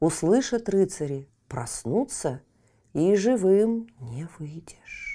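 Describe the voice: Lively intonation throughout some plain reading aloud.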